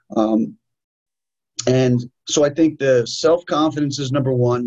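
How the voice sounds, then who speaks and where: A man with a New York accent sounds somewhat breathy at a fairly high pitch. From New York, US. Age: 40s. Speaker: martial arts instructor and author. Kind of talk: interview.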